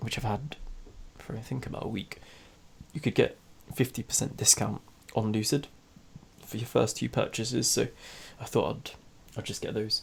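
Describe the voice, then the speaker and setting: With a British accent, a man speaks at a moderate pace and leaves long, frequent pauses. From UK. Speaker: trading vlogger. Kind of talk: casual screen-share vlog. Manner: hesitant, many fillers.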